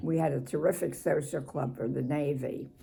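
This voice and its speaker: With a Philadelphia accent, a woman talks at a moderate pace in a dark, mellow tone with vocal fry. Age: 80s+. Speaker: former Navy Department worker. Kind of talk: interview answer.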